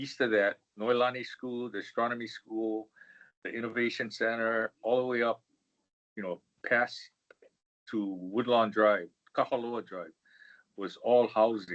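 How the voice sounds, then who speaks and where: A man's medium-pitched voice in a Hawaiian accent, fairly slow with long, frequent pauses, fairly even intonation and big swings in loudness. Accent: Hawaii local English. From Hawaii, Honolulu (Manoa Valley). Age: 70s. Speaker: engineer, professional society leader. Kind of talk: interview. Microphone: bad connection, old office computer.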